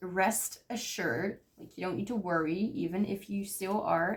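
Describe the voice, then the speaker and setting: Here a woman is speaking at a medium pitch. Her pitch varies in an ordinary way. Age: 20s. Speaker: tarot reader. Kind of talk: pick-a-card tarot reading.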